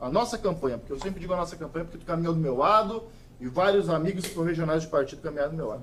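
In a room with audible echo and noticeable background noise, a man talks at a very fast pace in a high voice with lively intonation. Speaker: local politician. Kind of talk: interview. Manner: forceful.

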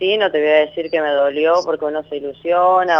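A woman with a very deep, low pitch, flat monotone intonation and a moderate pace. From Argentina, Santa Fe. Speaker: caller, masseuse. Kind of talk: phone-in consultation. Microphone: too quiet.

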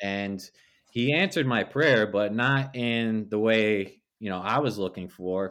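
A man with an American accent and a fairly low pitch talks at a fairly slow pace in a normal speaking voice, with ordinary pitch variation and a quiet background. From New Jersey. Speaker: pastor. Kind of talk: testimony.

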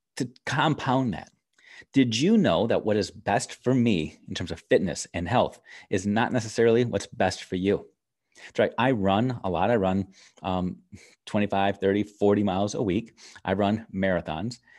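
A man with a normal speaking voice at a fairly low pitch, ordinary pitch variation and a moderate pace, in a very clean recording with a silent background. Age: 40s. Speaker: education podcast host. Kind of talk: solo live video talk. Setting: live video stream.

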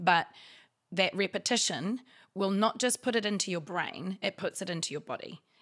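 The speaker has a New Zealand accent and keeps a moderate pace. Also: woman, very clean recording, silent background. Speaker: actor and writer. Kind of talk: casual chat.

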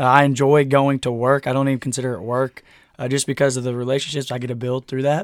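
In a dry, close recording with no echo, a man talks very fast at a medium pitch with monotone, flat intonation. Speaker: student pastor. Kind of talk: casual chat.

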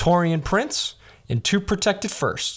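Animated and playful in tone, the speaker uses an American accent on a very clean recording with a silent background. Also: man. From Chicago, US Midwest. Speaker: sports podcast host. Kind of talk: game show host bit, mock Price Is Right style bidding. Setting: radio channel show. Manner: animated, playful, showman-like.

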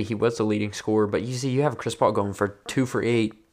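The speech comes at a fairly quick pace with fairly even intonation over a quiet background. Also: man. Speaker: basketball podcast host. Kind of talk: casual solo podcast talk. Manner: casual, filler-heavy.

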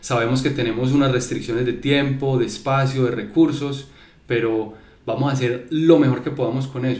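Somewhat breathy, a man talks at a moderate pace with fairly even intonation, and audible room echo is present. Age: 30s. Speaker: creative agency founder. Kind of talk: casual chat. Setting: studio.

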